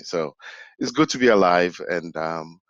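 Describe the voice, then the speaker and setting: In a Ghanaian accent, a man speaks with a very deep, low pitch, the sound dry and close with no echo. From Ghana, West Africa. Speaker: human capability specialist. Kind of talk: casual interview.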